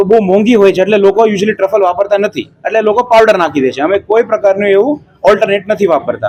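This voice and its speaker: A man speaks in a high pitch that moves up and down in an ordinary way. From Mumbai, India. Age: 20s. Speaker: restaurant owner, software engineer. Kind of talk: interview.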